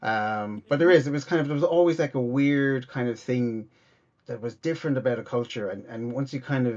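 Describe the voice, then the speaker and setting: Speaking with an Irish accent, a man shows ordinary pitch variation. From Ireland, Cork. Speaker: comedian and podcaster. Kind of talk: interview conversation. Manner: halting, many fillers and repeats.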